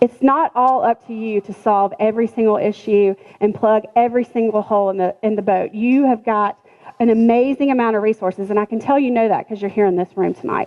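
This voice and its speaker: This woman has a normal speaking voice with a fairly high pitch. She talks at a fairly quick pace with fairly even intonation. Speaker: business trainer for essential oil sellers. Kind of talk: business class talk. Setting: room with live audience.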